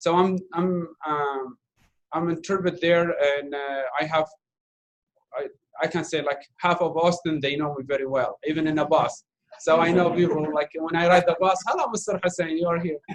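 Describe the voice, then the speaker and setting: A man with an Arabic accent, high pitch, fairly even intonation and a moderate pace. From Iraq. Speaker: refugee speaker, volunteer interpreter. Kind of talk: Q&A after documentary screening. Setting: university talk with audience, streamed online.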